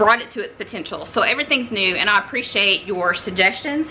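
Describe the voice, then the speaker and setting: Background noise is noticeable as a woman speaks. She has a Southern US accent and a fairly quick pace. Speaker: homesteading cooking vlogger. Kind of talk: cooking tutorial. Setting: home kitchen. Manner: casual, halting with fillers.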